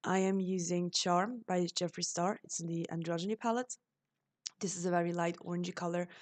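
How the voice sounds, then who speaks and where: A woman talks with a fairly low pitch. Her pace is fairly quick. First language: German. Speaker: beauty vlogger. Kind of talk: makeup tutorial voiceover. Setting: voiceover recording.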